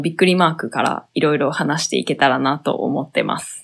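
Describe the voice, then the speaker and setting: The recording is very clean, its background silent. A woman speaks there at a moderate pace. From southern Hyogo, Japan. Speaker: podcast co-host, freelance designer. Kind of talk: casual chat.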